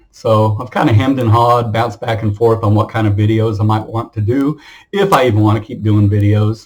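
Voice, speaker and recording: Somewhat breathy and fairly low-pitched, a man speaks at a fairly quick pace in a monotone, flat intonation. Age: 60s. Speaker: retired teacher and military veteran. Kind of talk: casual monologue vlog. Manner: hesitant, with many fillers and repetitions.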